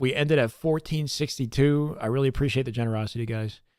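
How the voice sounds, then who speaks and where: Noticeable quickness in pace, an unremarkable speaking voice, ordinary pitch variation, and a very clean recording against a silent background. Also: man. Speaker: esports streamer. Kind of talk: livestream sign-off chat. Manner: casual.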